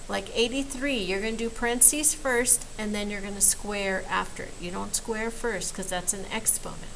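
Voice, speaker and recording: Audible room echo and noticeable background noise around a woman with a fairly high pitch, ordinary pitch variation, a moderate pace and hardly any pauses. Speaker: math teacher. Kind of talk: recorded lesson for students.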